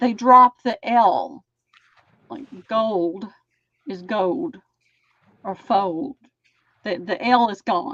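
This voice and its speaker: A woman with a Southern US accent talks very slowly with long, frequent pauses and big swings in loudness. Her fairly high voice has lively intonation, and the sound is dry and close with no echo. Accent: Southern US (Georgia). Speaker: crafter on live stream. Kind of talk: casual chat.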